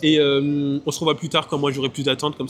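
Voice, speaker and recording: Noticeable background noise runs under this recording. A man speaks very fast at a fairly high pitch. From Martinique. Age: 20s. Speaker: travel vlogger. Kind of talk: casual vlog talk. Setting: airport.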